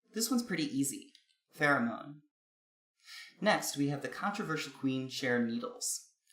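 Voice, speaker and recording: Speaking with an American accent, a man with a fairly high pitch lets his voice swing very widely in pitch. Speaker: video essayist on linguistics. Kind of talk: scripted narration. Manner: formal.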